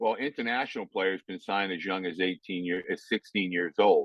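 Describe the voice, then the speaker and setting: This man's voice is very deep and low, and he keeps a moderate pace. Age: 60s. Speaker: youth baseball coach and author. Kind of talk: interview. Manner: conversational, with many fillers.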